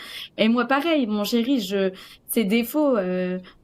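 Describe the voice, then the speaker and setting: Here a woman talks at a fairly high pitch, with ordinary pitch variation. The recording is very clean, and the background is silent. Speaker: coaching client sharing her story. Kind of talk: interview testimony. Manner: loud; hesitant, many fillers.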